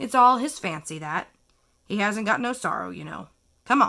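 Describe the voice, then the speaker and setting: A woman puts on a raspy character voice at a medium pitch. She keeps a moderate pace, and the recording is very clean with a silent background. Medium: read story. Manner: casual, dismissive.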